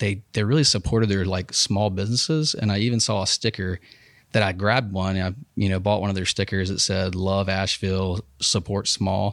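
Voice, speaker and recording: A man's fairly low voice with fairly even intonation, dry and close with no echo, on a very clean recording with a silent background. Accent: Alabama. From Alabama, US South (Huntsville and Dothan). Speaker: clothing company owner. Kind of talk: casual interview. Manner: lots of filler words, halting.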